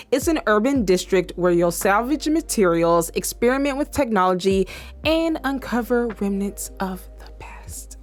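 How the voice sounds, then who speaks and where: A woman in an animated tone at a moderate pace, with hardly any pauses and big swings in loudness, music in the background. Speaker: gaming YouTuber. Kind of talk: casual video commentary.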